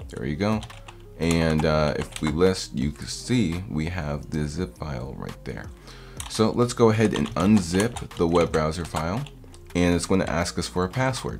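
Faint music plays in the background. A man speaks in a very deep, low pitch. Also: moderate pace. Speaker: hacking tutorial host. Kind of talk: tutorial. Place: home room.

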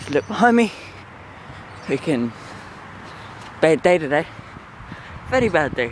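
A man's fairly high voice at a moderate pace, with very wide pitch swings, long, frequent pauses, and noticeable background noise. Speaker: vlogger. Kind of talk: casual vlog monologue. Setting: outdoors, walking. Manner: rambling, halting.

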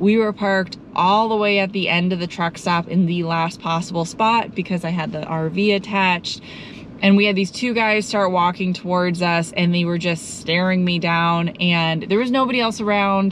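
A woman talks at a moderate pace with fairly even intonation, the sound dry with no echo and light background noise. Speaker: travel vlogger. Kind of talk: casual vlog chat. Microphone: phone near.

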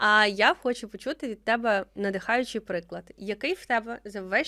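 Speaking fairly slowly, a woman with a medium pitch and a bright, sharp tone is captured in a dry, close sound with no echo on a very clean recording with a silent background. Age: 20s. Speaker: podcast host. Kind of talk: casual interview.

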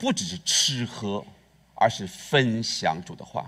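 The pitch swings very widely, with vocal fry throughout. The background is quiet. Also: man. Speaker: pastor. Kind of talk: sermon. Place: church. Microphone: headset.

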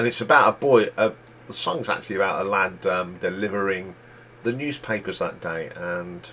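A man's bright, sharp voice with an East Midlands accent and ordinary pitch variation. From England, East Midlands (near Leicester). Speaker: YouTube music chart host. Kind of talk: solo music countdown commentary. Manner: casual, conversational. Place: home room. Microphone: webcam.

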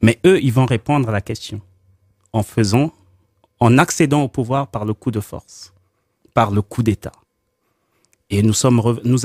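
Over a quiet background, a man talks at a fairly slow pace with ordinary pitch variation, the sound dry with no echo. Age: 40s. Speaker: political activist, concept promoter. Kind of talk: radio debate. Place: studio.

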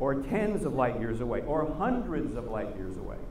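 A man speaks at a fairly slow pace. Light background noise and audible room echo fill the recording. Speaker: guest lecturer. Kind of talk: lecture. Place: stage.

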